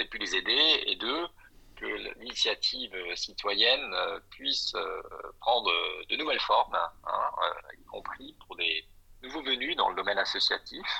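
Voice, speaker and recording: The man has a bright, sharp tone. He talks at a fairly slow pace with lively intonation. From Belgium and Alsace (Brussels, Strasbourg). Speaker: school support association president and consular councillor. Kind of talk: podcast interview.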